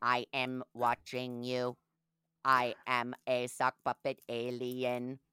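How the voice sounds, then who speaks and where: Speaking very slowly in a put-on character voice, a woman keeps a very deep, low pitch and a monotone, flat intonation. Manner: menacing.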